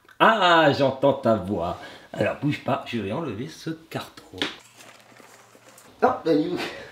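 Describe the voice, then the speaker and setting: Very slowly and with long, frequent pauses, a man speaks at a fairly high pitch with very wide pitch swings over noticeable background noise. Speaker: unboxing channel host with child. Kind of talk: casual chat with a child during toy unboxing. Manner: animated.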